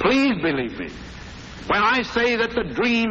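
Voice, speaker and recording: Noticeable background noise sits behind a man's voice. He speaks at a high pitch and a moderate pace. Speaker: head of state. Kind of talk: formal political speech.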